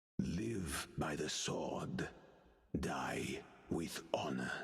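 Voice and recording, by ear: Over music in the background, a put-on character voice, raspy and very deep and low in pitch, drags along at a very slow pace.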